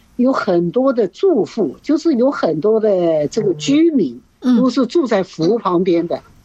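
With very wide pitch swings, a woman talks at a fairly slow pace in a fairly high pitch. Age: 70s. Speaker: retired hiker and gardener. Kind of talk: radio interview. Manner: hesitant, many fillers.

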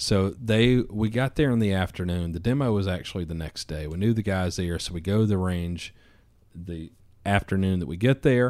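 In a Southern accent, a man with a very deep, low pitch talks at a moderate pace with ordinary pitch variation on a very clean recording with a silent background. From US South, Georgia. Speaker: firearms company founder. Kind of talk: casual chat. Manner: animated.

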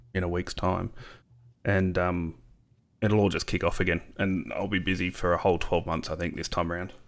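In an Australian accent, a man with a very deep, low pitch speaks at a fairly quick pace. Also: fairly even intonation. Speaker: podcast host. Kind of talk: casual chat. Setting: remote call.

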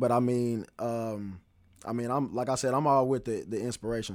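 A man speaks at a fairly quick pace, his pitch medium. The recording is very clean, with a silent background. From Greensboro, North Carolina. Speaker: freelance artist. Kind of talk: casual interview. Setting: studio.

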